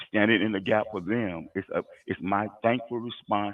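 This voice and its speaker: A man with a fairly low pitch speaks at a moderate pace. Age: 60s. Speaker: Salvation Army officer. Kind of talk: testimony. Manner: emphatic.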